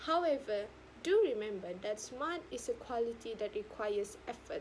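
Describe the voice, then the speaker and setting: In a Sabahan accent, the speaker talks at a moderate pace with lively intonation. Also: woman, fairly high pitch for a woman. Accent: Malaysian (Sabahan) English. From Sabah, Malaysia. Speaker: university student. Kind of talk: speech competition talk.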